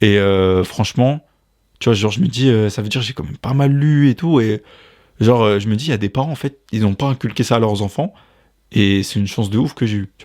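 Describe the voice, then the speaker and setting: A plain, everyday voice moves at a fairly quick pace. The very clean recording has a silent background and a dry, close sound with no echo. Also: man, medium pitch for a man, ordinary pitch variation. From France. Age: 20s. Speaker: podcast host. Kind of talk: casual chat.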